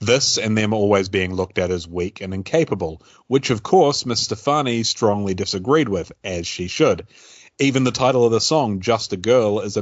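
Using an ordinary speaking voice, this man holds a moderate pace, his pitch fairly low with ordinary variation. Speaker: radio host. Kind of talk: casual chat.

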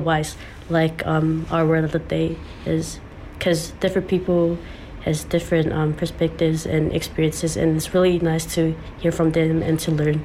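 A woman with a Samoan accent talks at a moderate pace.

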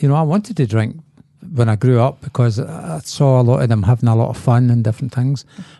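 In a Scottish accent, a man speaks at a very fast pace with very even loudness. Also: medium pitch for a man, ordinary pitch variation. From Scotland, Glasgow. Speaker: recovering alcoholic. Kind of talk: testimony.

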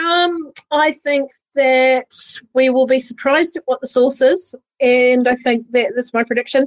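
Speaking fairly slowly in a high pitch, a woman with a New Zealand accent keeps fairly even intonation in a dry, close sound with no echo. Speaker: radio co-host. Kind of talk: casual chat. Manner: hesitant, many fillers.

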